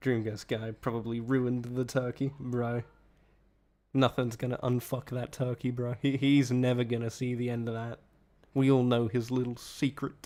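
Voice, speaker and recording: The speaker has an Australian accent and a dark, mellow tone. Delivery is at a moderate pace with monotone, flat intonation. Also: man, medium pitch for a man. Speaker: streamer co-host. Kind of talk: casual chat. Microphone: possible echo, sitting close to mic.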